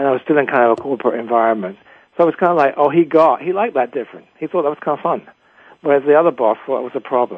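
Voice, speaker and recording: A man with an English accent talks at a very fast pace. His pitch is fairly high. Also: ordinary pitch variation. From England. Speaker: executive coach and author. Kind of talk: interview.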